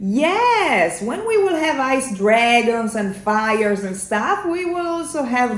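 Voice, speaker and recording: A woman speaks very slowly, her pitch swinging very widely. Noticeable background noise and audible room echo fill the recording. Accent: Italian. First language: Italian. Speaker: singer in a metal band. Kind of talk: casual chat. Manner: halting, many fillers.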